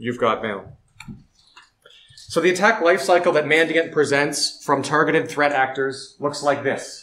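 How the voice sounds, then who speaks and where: Speaking at a moderate pace in a Canadian accent, a man uses a normal speaking voice with a fairly high pitch and ordinary pitch variation. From Canada. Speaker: security researcher. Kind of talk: conference talk.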